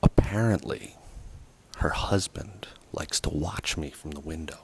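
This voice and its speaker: Whispering, a man talks at a fairly slow pace. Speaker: DIY car builder vlogger. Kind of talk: casual vlog narration. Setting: home garage. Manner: softly spoken at start.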